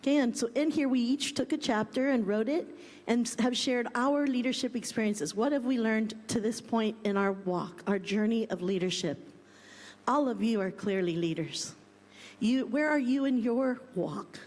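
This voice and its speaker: A woman speaks at a moderate pace. Her pitch is fairly high, with ordinary pitch variation. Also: very even loudness. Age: 60s. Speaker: school co-founder and panel speaker. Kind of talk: conference panel talk. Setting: conference stage with audience.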